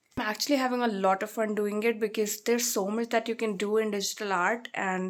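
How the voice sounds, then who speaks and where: With an Indian accent, a woman speaks at a fairly quick pace in a fairly high pitch with fairly even intonation, on a very clean recording with a silent background. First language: Hindi. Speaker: vlogger. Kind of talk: casual chat.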